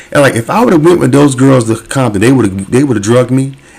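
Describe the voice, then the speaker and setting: A man talks at a very fast pace. Noticeable background noise runs through the clip. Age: 40s. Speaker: YouTube reaction host. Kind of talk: casual commentary.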